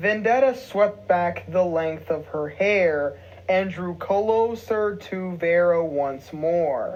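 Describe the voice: The pitch varies in an ordinary way throughout this plain reading aloud.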